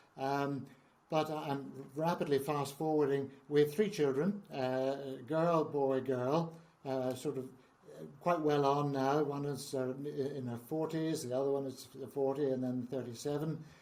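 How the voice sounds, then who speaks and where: Noticeable background noise and audible room echo fill the recording. The speaker goes at a fairly slow pace with fairly even intonation. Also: man, fairly high pitch for a man. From Northern Ireland, Belfast. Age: 70s. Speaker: founder of a trauma charity. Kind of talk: interview.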